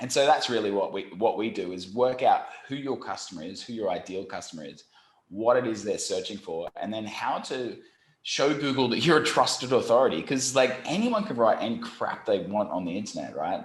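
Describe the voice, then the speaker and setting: Fairly quick and animated, a man talks in an Australian accent. Audible echo fills the room. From Australia, Brisbane. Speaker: SEO company founder. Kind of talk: podcast interview.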